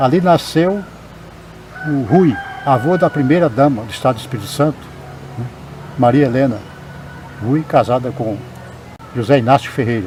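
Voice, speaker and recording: Against noticeable background noise, a man talks with ordinary pitch variation and long, frequent pauses. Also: medium pitch for a man, moderate pace. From Espírito Santo, Brazil. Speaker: writer and poet. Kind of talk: oral history testimony, local heritage tour.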